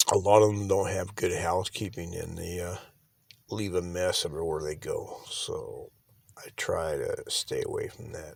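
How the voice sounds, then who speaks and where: A soft-spoken man talks at a moderate pace. The recording is very clean with a silent background. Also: big swings in loudness. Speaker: van life vlogger. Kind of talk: casual vlog talk.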